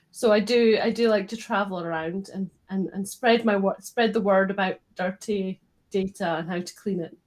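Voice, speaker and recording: A woman in a Scottish accent, medium in pitch, with fairly even intonation. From Scotland. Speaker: data quality consultant. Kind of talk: live stream panel discussion. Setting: online live stream.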